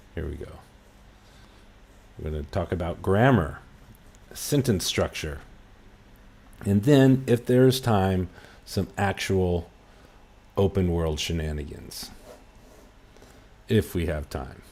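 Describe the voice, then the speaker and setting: A man's very deep, low voice with a dark, mellow tone, a very slow pace, long, frequent pauses, and big swings in loudness. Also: lively intonation. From US West Coast, Los Angeles. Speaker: English teacher. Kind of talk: lesson. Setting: livestream.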